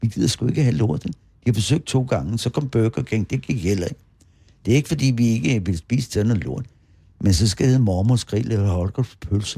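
This man has a dark, mellow tone at medium pitch, somewhat breathy. His intonation is lively and his pace fairly quick. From Bornholm. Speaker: local historian. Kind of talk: interview. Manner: animated.

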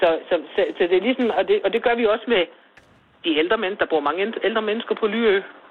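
Her voice is at a medium pitch, with ordinary pitch variation. The woman speaks at a fairly quick pace. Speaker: village shopkeeper. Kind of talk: casual chat. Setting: phone call.

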